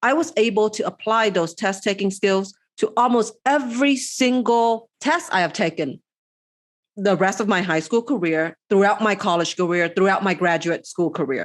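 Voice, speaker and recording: With a quiet background behind her, a woman speaks at a medium pitch and a moderate pace with lively intonation. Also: very even loudness. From outside the US. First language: not English. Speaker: podcast co-host. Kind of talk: casual chat.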